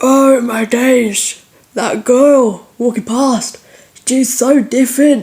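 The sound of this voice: A woman's put-on character voice at a high pitch, very slow, with fairly even intonation.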